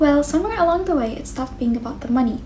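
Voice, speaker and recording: Through noticeable background noise and audible room echo, a woman speaks with ordinary pitch variation. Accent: Arabic. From Egypt. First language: Arabic. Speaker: medical student and language-learning YouTuber. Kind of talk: vlog-style talk to camera.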